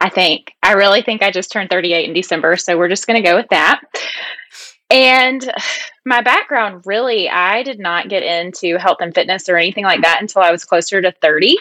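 At a fairly quick pace, this voice carries a slight Southern US accent and ordinary pitch variation. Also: woman, medium pitch for a woman. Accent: slight country (Southern US). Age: 30s. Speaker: health and fitness coach. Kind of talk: podcast interview.

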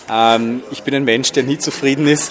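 A man's voice sits at a medium pitch as music plays behind him. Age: 40s. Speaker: event organizer. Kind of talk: interview. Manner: halting, with many fillers.

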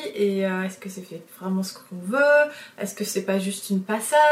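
The speaker talks at a moderate pace with ordinary pitch variation. Noticeable background noise runs underneath. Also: woman. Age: 30s. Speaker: illustrator and podcast host. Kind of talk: solo podcast monologue. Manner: hesitant, frequent fillers and repetitions.

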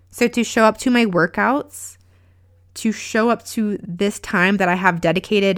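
A woman with an unremarkable speaking voice talks at a fairly slow pace and medium pitch with ordinary pitch variation, in a very clean recording with a silent background. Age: 30s. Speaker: podcast host and life coach. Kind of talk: pep talk. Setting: solo podcast recording. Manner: warm, earnest, encouraging.

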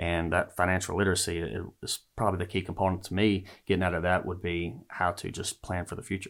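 Over a silent background in a very clean recording, a man with a very deep, low pitch races along at a very fast pace with hardly any pauses. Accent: Louisiana. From US South, northern Louisiana. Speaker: school principal. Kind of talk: casual interview. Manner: halting, many fillers.

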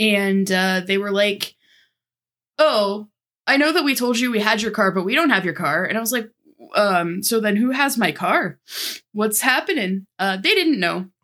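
A woman with an American accent speaks at a medium pitch and a moderate pace, her tone bright and sharp and her intonation lively. The recording is very clean, with a silent background. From Ohio. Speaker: podcast host. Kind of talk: casual chat.

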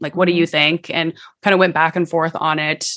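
A woman's fairly low voice with a bright, sharp tone. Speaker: podcaster. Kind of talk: interview. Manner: fast.

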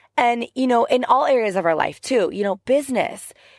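At a moderate pace, the speaker sounds animated, recorded very cleanly against a silent background with a dry, close sound and no echo. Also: woman. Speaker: life and business coach, podcast host. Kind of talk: motivational monologue. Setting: in a car.

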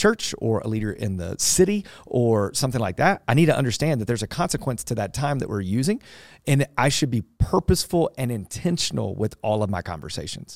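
A man speaks loudly at a very fast pace with hardly any pauses, in an energetic tone. His medium pitch swings very widely on a very clean recording with a silent background. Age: 40s. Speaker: pastor and leadership podcast host. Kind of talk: casual podcast chat. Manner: loud and energetic.

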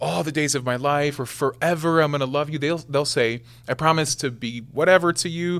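This is a man with an American accent. His pitch is fairly high, with ordinary variation. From Nebraska, US Midwest. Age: 20s. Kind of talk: casual chat.

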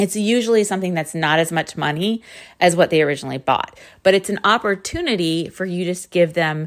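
An ordinary speaking voice from a woman with an American accent, fairly low in pitch, with ordinary pitch variation at a fairly quick pace. The recording is very clean and the background silent. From US Northeast. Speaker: podcast host and marketing coach. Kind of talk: tutorial.

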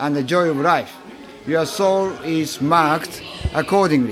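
A man at a fairly slow pace and fairly high pitch, with ordinary pitch variation and noticeable background noise. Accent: Japanese. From Japan. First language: Japanese. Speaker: author and travel industry professional. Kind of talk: interview. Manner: halting.

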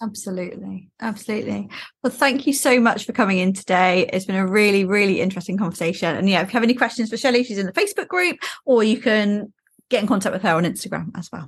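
Somewhat breathy, a woman talks at a very fast pace with a medium pitch and ordinary pitch variation. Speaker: podcast host and career coach. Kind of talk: interview, casual chat.

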